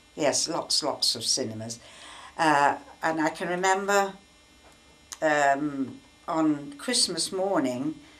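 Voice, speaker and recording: With a Yorkshire accent, a woman speaks very slowly in a very deep, low voice, her intonation lively and her pauses long and frequent. Noticeable background noise runs underneath. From York, England. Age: 80s+. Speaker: wartime memories storyteller. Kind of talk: interview answer.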